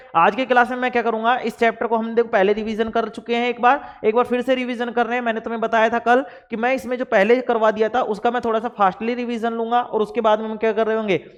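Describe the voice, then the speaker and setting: A man's extremely high-pitched voice, hardly any pauses, over noticeable background noise. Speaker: online science teacher. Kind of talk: lecture. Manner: animated.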